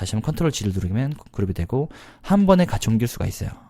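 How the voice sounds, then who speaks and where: Very fast and with very wide pitch swings, a man speaks in a dark, mellow tone. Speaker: PowerPoint instructor. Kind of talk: screen-recorded software tutorial. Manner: fast-paced, many filler words.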